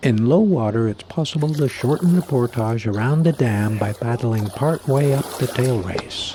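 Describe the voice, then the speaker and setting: A man talks at a moderate pace with hardly any pauses, medium pitch and ordinary pitch variation, over noticeable background noise. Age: 60s. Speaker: wilderness canoe vlogger. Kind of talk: casual talk to camera outdoors; travel vlog narration. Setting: outdoors on a river.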